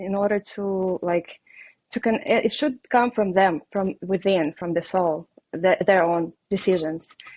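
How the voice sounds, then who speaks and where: A woman with a Russian accent, recorded dry and close with no echo. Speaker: reiki healer and life coach. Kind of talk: podcast interview. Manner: hesitant, many fillers.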